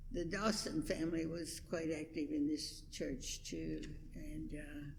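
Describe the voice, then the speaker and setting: There is audible room echo as a woman with an American accent speaks at a fairly slow pace. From West Virginia, Huntington. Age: 90s. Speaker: longtime church member. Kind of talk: oral history interview. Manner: halting.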